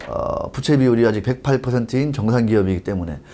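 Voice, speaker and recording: Speaking at a fairly quick pace, a man with a dark, mellow tone and medium pitch uses lively intonation. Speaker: economy news commentator. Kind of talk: news commentary reading documents aloud. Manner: some slurred, stumbling pronunciation.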